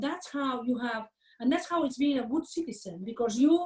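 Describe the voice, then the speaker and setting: A woman speaks at a moderate pace in a high, dark, mellow voice with lively intonation. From Catalonia, Spain (Barcelona). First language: Catalan/Spanish. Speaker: management professor. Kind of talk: interview. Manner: many fillers and false starts.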